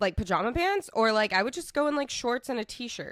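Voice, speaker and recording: A woman speaks with an American accent in a plain, everyday voice, her fairly high pitch carried by lively intonation. The recording is very clean, with a silent background. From Texas. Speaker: podcast co-host reading online stories. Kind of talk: casual podcast chat.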